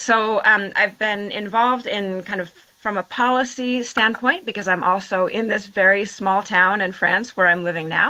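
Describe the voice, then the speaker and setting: At medium pitch and a moderate pace, a woman speaks in a bright, sharp tone with fairly even intonation and hardly any pauses. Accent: Washington State. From US Pacific Northwest, Washington State. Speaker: water and transport professional, town councillor. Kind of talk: interview. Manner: halting, many fillers and restarts.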